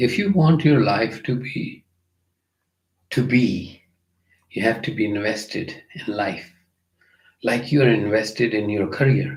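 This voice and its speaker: A man with a medium pitch and a Punjabi accent speaks at a fairly slow pace, somewhat breathy, with lively intonation, long, frequent pauses and audible room echo. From India (Punjab). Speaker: music teacher and yoga master. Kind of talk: live Q&A conversation. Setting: livestream.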